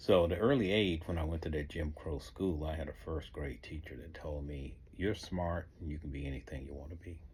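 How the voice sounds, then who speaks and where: A man with an American accent talks at a moderate pace in a very deep, low pitch with vocal fry and ordinary pitch variation. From US South. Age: 60s. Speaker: author. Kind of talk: motivational talk.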